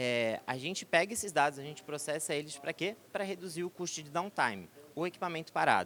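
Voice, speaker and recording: Talking at a fairly quick pace, a man uses lively intonation. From southern Brazil. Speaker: tech company executive. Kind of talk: conference presentation. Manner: hesitant, filler-heavy.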